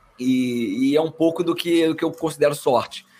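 A man uses an ordinary speaking voice with ordinary pitch variation. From Brazil. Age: 30s. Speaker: marketing executive. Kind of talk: casual interview.

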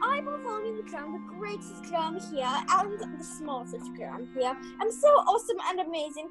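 Over clear background music, a woman does a put-on character voice that is pompous and whiny, moving at a moderate pace. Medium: audio drama. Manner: pompous, boastful, whiny.

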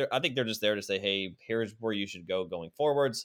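A plain, everyday voice from a man at a medium pitch and a fairly quick pace. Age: 20s. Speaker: physical therapist and podcast host. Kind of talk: casual interview chat.

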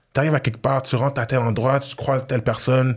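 A man talks at medium pitch in a somewhat breathy voice. The recording is very clean, with a silent background. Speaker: former football player and sports entrepreneur. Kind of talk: casual interview chat.

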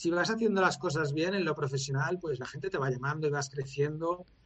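This man's voice is fairly high for a man and somewhat breathy, with ordinary pitch variation. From Valencia, Spain. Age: 40s. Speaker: former motorcycle racer and coach. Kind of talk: long-form interview.

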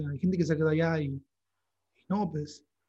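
Ordinary variation marks the pitch of this man, whose voice sits high. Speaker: podcast host. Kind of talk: casual chat.

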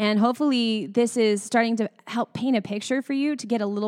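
A woman in a normal speaking voice, fairly high in pitch with ordinary variation, at a fairly quick pace on a very clean recording with a silent background. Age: 30s. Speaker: podcast host and singer. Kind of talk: casual chat.

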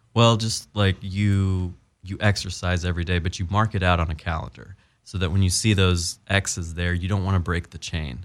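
A man with an American accent, a very deep, low pitch and fairly even intonation, on a very clean recording with a silent background. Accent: general American with slight Southern drawl. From US South (Appalachian Virginia). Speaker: doctor turned actor. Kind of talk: casual interview.

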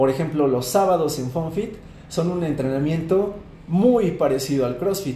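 Audible room echo surrounds a man with a fairly high pitch who speaks at a moderate pace with lively intonation. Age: 20s. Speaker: fitness coach. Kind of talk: interview.

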